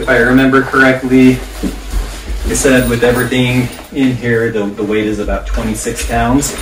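A man's moderately paced speech is heard over noticeable background noise. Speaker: product reviewer. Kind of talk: casual unboxing review. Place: home room. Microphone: camera far.

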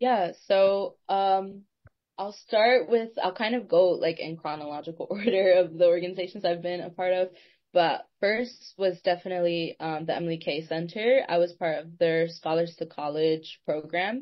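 A woman with an American accent has a plain, everyday voice, fairly low in pitch with ordinary pitch variation. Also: moderate pace. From North Carolina, Durham. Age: young. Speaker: university student and youth advocate. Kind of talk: interview.

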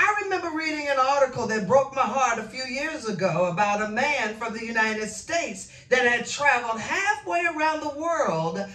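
In a raised, projected voice, a woman talks with hardly any pauses over audible room echo. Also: moderate pace. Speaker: minister. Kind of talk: sermon. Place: home room.

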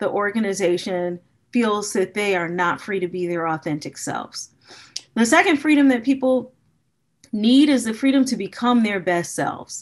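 A woman with an American accent uses a normal speaking voice at a fairly high pitch, speaking at a moderate pace with lively intonation over a quiet background. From US Midwest, Gary, Indiana; Indiana. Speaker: business school professor. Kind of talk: keynote lecture. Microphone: webcam.

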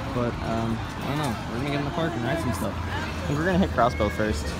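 A man talking at a very fast pace, dry with no echo, over crowd noise in the background. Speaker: park vlogger. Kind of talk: casual vlog chat. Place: street. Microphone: phone near.

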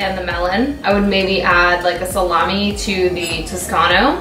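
A woman's voice carries audible room echo, with clear music playing in the background. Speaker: cooking show host. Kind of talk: casual tasting chat. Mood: relaxed, cheerful. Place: home room. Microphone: camera far.

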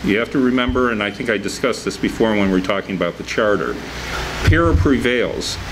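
A man with a fairly low voice speaks at a very fast pace. There is noticeable background noise. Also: ordinary pitch variation. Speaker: city attorney. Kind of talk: city council meeting. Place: meeting room. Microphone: podium.

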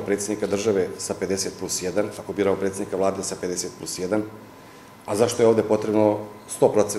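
Light background noise and audible room echo surround a man's voice. He speaks fairly quickly at a fairly low pitch. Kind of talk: interview answer. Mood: critical, explaining. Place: office.

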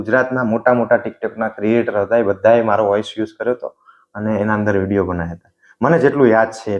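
This man has a plain, everyday voice. It sits at medium pitch with fairly even intonation. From Gujarat, Vadhiyar region. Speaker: comedy video creator. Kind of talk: interview.

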